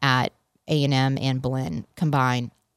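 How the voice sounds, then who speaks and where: A woman speaks with an American accent. The sound is dry and close with no echo, on a very clean recording with a silent background. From Boston. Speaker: university ministry fundraising director. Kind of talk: radio interview.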